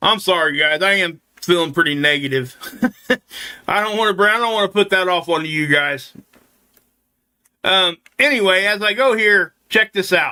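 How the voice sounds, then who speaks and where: A man speaks in a raised, projected voice that sits high for a male, with a bright, sharp tone and ordinary pitch variation. His pace is moderate, broken by long, frequent pauses. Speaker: space weather youtuber. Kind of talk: casual commentary on solar imagery. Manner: casual, conversational.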